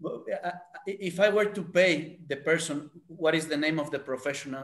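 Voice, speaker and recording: The speaker has a Spanish accent, a moderate pace and ordinary pitch variation. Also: man. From Mexico. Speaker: startup founder presenting. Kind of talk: casual group video call feedback. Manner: halting.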